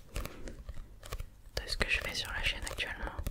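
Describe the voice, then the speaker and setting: Whispering at a very slow pace in a gentle tone, a woman is heard over noticeable background noise. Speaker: ASMR creator. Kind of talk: ASMR relaxation talk to camera. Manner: soft, gentle, whispery.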